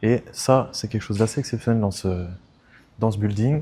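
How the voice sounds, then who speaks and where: A soft-spoken man's dark, mellow, somewhat breathy voice, fairly quick pace, ordinary pitch variation, very clean recording, silent background. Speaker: real estate agent. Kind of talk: property tour video.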